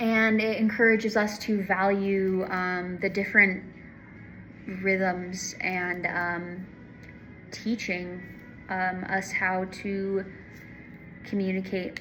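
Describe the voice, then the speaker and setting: A woman at medium pitch speaks very slowly and flatly, with long, frequent pauses and audible room echo. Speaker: student giving a class presentation. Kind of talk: class presentation. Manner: halting with many fillers.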